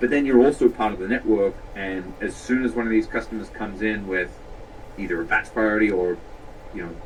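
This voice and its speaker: Noticeable background noise sits behind a man's very deep, low voice. He speaks at a moderate pace. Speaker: tech company CEO. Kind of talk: interview.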